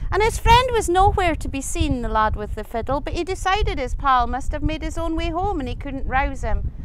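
A woman with a Scottish accent, a fairly quick pace and lively intonation, in a dry sound with no echo and light background noise. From Scottish Highlands. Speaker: storyteller. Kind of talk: folk tale telling. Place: open country. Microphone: lapel.

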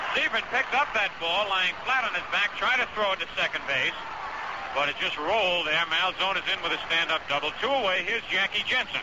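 A man talks at a fairly quick pace. Background noise is noticeable throughout. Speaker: baseball play-by-play radio announcer. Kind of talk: live sports radio play-by-play commentary. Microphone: old recording.

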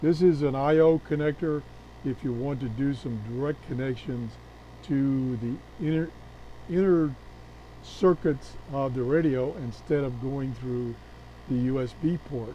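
A man with a dark, mellow tone speaks at a fairly slow pace, using ordinary pitch variation and long, frequent pauses. The sound is dry with no echo, over light background noise. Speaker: radio hobbyist. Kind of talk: show-and-tell product walkthrough. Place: workshop.

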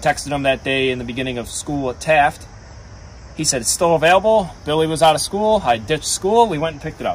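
A man speaks at a very fast pace with lively intonation, over light background noise. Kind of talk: casual vlog chat. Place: garden.

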